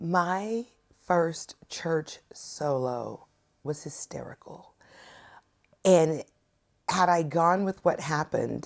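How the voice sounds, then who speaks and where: A woman with a slight Southern US accent and long, frequent pauses. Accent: slight Southern twang. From US South. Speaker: singer-songwriter. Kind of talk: interview.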